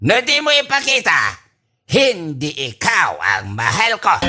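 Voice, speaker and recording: A man uses a put-on character voice, extremely high and raised, projected. He goes at a fairly slow pace with music in the background. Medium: audio drama. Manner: rambling, mixing English and Tagalog.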